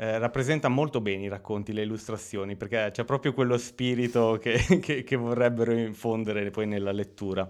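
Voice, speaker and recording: A man with an unremarkable speaking voice talks at a fairly quick pace with hardly any pauses. His pitch is medium and his intonation fairly even. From Italy, Romagna (Lugo). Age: 30s. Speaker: writer. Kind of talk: interview.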